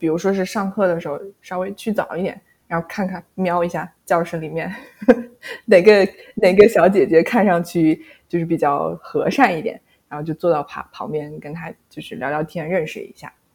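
A woman speaks at a moderate pace in a somewhat breathy, medium-pitched voice with ordinary pitch variation. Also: big swings in loudness. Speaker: former bank employee and graduate student. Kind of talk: casual interview.

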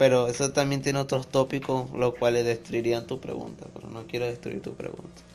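A man with a Venezuelan accent talks at a moderate pace in a medium pitch, with noticeable background noise behind him. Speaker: DJ and music producer. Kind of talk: casual chat interview.

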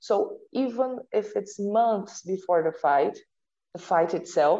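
A woman's medium-pitched, dark, mellow voice in a Portuguese accent, at a very slow pace with ordinary pitch variation. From Brazil. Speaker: sport psychology researcher. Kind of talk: interview. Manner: halting.

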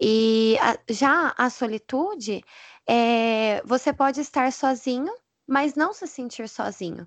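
A woman speaks at a very slow pace with a high pitch and lively intonation. The background is quiet. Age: 20s. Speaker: educational psychologist and church youth leader. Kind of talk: casual chat.

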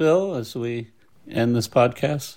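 This is a plain, everyday voice with ordinary pitch variation. The recording is very clean, with a silent background. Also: man. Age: 50s. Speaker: pastor. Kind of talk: interview conversation. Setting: home.

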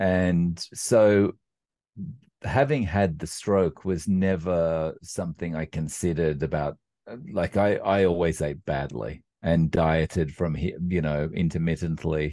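Speaking at a fairly slow pace in an Australian accent, a man uses a very deep, low voice with a dark, mellow tone and ordinary pitch variation. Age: 40s. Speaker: carnivore diet YouTuber. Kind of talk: casual interview. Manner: hesitant, many fillers.

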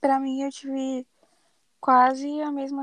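A woman's high-pitched voice in a dry, close sound with no echo. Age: 20s. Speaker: journalism student. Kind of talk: casual chat.

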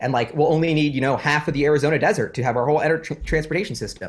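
A man's somewhat breathy, fairly high-pitched voice. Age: 20s. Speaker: finance YouTuber and investor. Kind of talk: casual interview chat. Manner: animated.

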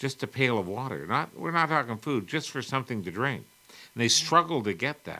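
With vocal fry and a bright, sharp tone, a man speaks at a medium pitch and a fairly quick pace, his intonation lively. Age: 60s. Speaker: mental health advocate and cancer survivor. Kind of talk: interview.

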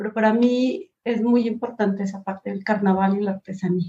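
A woman talks at a fairly high pitch with ordinary pitch variation. Her voice is somewhat breathy. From Colombia, Pasto (Nariño, south near Ecuador). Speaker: design professor and researcher. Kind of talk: interview conversation. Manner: halting, many repetitions and fillers.

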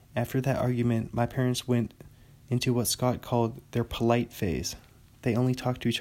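Someone reads aloud here, using a natural voice.

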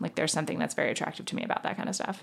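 A woman speaks with vocal fry. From US, New York City (Manhattan). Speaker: podcaster. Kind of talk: casual chat.

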